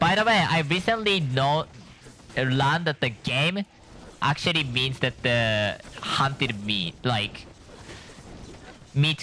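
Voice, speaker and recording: Noticeable background noise accompanies a man who speaks at a very slow pace with long, frequent pauses, a fairly high pitch and very wide pitch swings. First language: not English. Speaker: gaming streamer. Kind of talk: gameplay commentary. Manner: halting.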